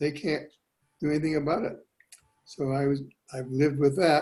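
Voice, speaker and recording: A man talks at a moderate pace, somewhat breathy. His voice is fairly high, with a dark, mellow tone. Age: 80s+. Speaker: product testimonial giver. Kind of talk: testimony.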